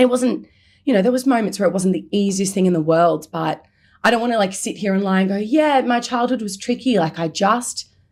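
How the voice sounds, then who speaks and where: At a fairly quick pace, a woman talks at medium pitch with ordinary pitch variation. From Melbourne, Australia. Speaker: comedian. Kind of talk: casual chat. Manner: loud; animated.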